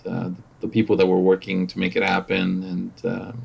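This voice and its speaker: Speaking at a moderate pace with a Spanish accent, a man uses a fairly low pitch and ordinary pitch variation. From Mexico. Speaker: operations manager. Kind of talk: podcast interview. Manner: halting, many fillers and repetitions.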